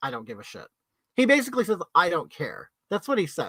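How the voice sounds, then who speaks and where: A man talks at a very fast pace in a bright, sharp tone. His pitch swings very widely. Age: 50s. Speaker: drag performer and livestreamer. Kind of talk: casual livestream chat reading viewer comments. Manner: animated.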